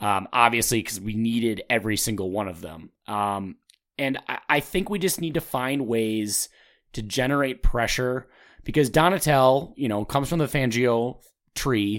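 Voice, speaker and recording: With an American accent, a man talks in an ordinary speaking voice at a medium pitch, using lively intonation on a very clean recording with a silent background. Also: moderate pace. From Minnesota. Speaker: sports podcast host. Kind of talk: casual chat.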